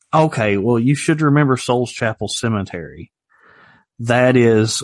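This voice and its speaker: A man's medium-pitched voice at a fairly slow pace, with ordinary pitch variation and a quiet background. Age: 40s. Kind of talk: casual chat.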